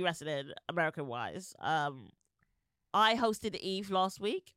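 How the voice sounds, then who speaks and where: A woman with a British accent speaks in a bright, sharp tone with very wide pitch swings, the sound dry and close with no echo. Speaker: podcast host. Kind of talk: casual chat.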